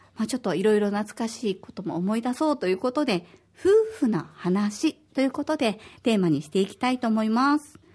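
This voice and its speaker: A woman's fairly high, somewhat breathy voice with very wide pitch swings at a fairly quick pace. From Osaka, Japan. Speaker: podcast host. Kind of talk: casual chat. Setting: studio.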